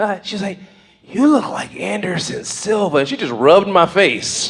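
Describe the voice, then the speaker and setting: A man speaks in a high voice amid noticeable background noise. Room echo is audible. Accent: American. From Las Vegas, US. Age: 40s. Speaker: stand-up comedian. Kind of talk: stand-up. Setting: stage with audience.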